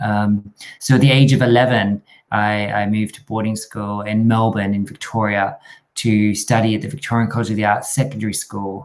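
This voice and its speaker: A man with an Australian accent talks at a fairly quick pace, his pitch fairly low. His intonation stays fairly even while his loudness swings a lot. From Australia, rural New South Wales. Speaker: dance company artistic director and choreographer. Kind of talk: interview.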